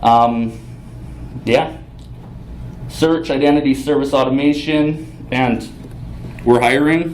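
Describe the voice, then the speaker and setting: A very slow delivery with long, frequent pauses and fairly even intonation, in a Canadian Prairies accent, with audible room echo and noticeable background noise. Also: man, medium pitch for a man. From Canada, Saskatchewan. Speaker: front-end developer, conference speaker. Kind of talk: conference talk. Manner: casual, with fillers.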